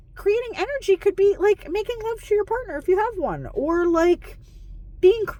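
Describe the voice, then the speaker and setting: A woman talks loudly at a fairly quick pace over noticeable background noise. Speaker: self-help vlogger. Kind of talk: motivational monologue. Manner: animated.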